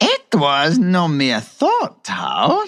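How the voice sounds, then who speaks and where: A man in a put-on character voice, pitched high. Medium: read story. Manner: haughty, condescending.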